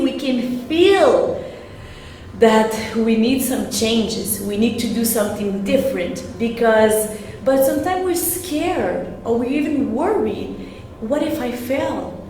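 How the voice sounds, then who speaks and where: A woman's high-pitched voice at a fairly slow pace, with lively intonation, audible room echo and noticeable background noise. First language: French. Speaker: real estate agent. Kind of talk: online sales seminar. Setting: livestream video. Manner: halting.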